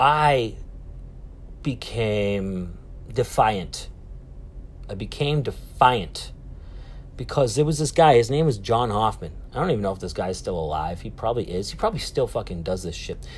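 Speaking in a Boston accent at a moderate pace, a man with a medium pitch and vocal fry uses lively intonation and takes long, frequent pauses. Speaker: podcast host. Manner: loud, animated.

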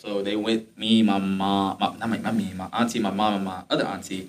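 A man with an unremarkable speaking voice and an American accent talks at a fairly quick pace, fairly low in pitch, with hardly any pauses. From Detroit, Michigan. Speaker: podcast host, university student. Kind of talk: casual chat, faith testimony.

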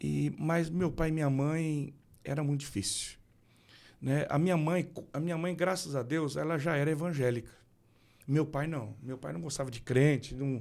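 A man has an unremarkable speaking voice, fairly high in pitch. His pitch variation is ordinary and his pace moderate. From Brazil, Rondônia and Mato Grosso do Sul. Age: 40s. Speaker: pastor. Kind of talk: casual chat.

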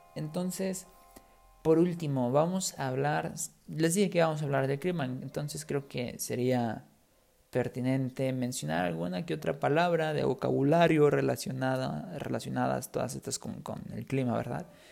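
Lively intonation colors an ordinary speaking voice. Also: man, medium pitch for a man. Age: 20s. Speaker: podcast host, Spanish teacher. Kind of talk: casual monologue for language learners. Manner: clear, unhurried.

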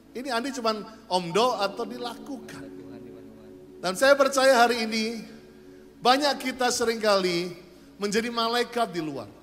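A man's extremely high-pitched, animated voice at a fairly slow pace, with ordinary pitch variation, long, frequent pauses and audible room echo. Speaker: pastor. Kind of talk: sermon. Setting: church.

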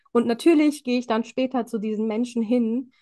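Here is a woman with an unremarkable speaking voice, fairly high in pitch and fairly even in intonation. She keeps a moderate pace against a quiet background. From Germany, Indian family. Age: 20s. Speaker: empowerment coach and social worker. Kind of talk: casual interview chat.

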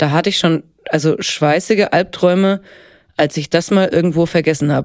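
A moderate pace with ordinary pitch variation. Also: woman. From Upper Franconia, Bavaria (Helmbrechts near Hof). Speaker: actress and singer. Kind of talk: casual interview. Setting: studio.

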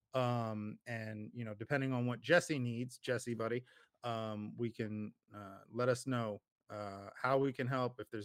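Speaking in an ordinary speaking voice with an American accent, a man keeps a moderate pace, medium pitch and fairly even intonation, in a dry, close sound with no echo. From New Jersey. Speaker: podcast host. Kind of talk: casual chat. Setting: video call.

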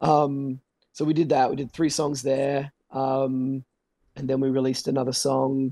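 Speaking with an Australian accent at a fairly slow pace, a man has a medium pitch, a dark, mellow tone and flat, monotone intonation, recorded with a dry, close sound and no echo. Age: 30s. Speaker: metal band vocalist. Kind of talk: casual chat.

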